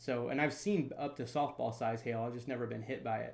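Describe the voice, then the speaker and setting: Audible room echo surrounds a man with an American accent. He talks at a fairly quick pace with ordinary pitch variation. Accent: slight Southern, mostly worked away. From US South, North Florida (Jacksonville area). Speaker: storm chaser. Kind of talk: casual chat. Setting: live stream.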